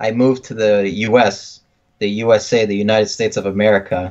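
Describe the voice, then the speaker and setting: This man has a slight French Canadian accent and a fairly low pitch. He talks at a moderate pace with ordinary pitch variation. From Quebec, Canada. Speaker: podcast co-host. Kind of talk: casual chat.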